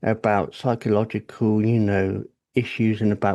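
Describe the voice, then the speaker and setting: In a British accent, a man delivers a monotone, flat line at a moderate pace, his fairly low voice dark and mellow in tone over a quiet background. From England. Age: 40s. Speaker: podcast guest. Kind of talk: personal testimony in casual interview.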